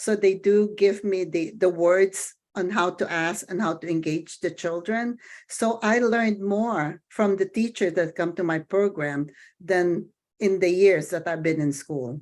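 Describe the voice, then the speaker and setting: At a fairly slow pace and with ordinary pitch variation, a speaker with a non-native accent talks against a quiet background. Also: woman, medium pitch for a woman. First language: not English. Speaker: daycare center owner. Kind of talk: committee meeting discussion. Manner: halting.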